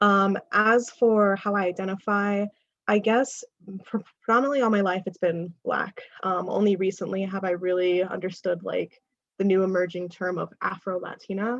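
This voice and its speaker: A woman with an American accent speaks at a moderate pace and medium pitch, with fairly even intonation and an unremarkable speaking voice. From New York. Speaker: diversity facilitator. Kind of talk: workshop presentation.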